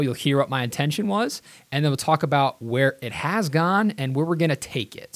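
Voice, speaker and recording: A man with a normal speaking voice talks at a fairly quick pace. His pitch is fairly high, with ordinary pitch variation. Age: 30s. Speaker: podcast host. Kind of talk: solo podcast monologue.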